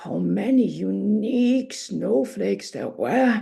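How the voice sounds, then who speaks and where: A woman in a put-on character voice. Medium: read story. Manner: slow, gentle, measured.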